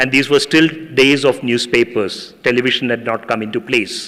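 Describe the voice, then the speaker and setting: Here a man speaks at a fairly slow pace. He has a Tamil accent. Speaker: professor. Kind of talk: public speech.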